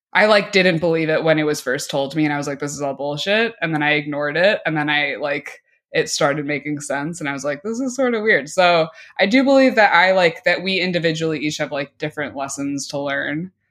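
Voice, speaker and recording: A woman with an American accent speaks at a fairly quick pace in a very deep, low voice, with ordinary pitch variation against a quiet background. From Chicago area (Oak Park, Illinois). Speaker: stand-up comedian. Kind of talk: casual interview chat.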